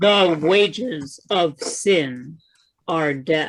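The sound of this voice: Middle pitch in a put-on character voice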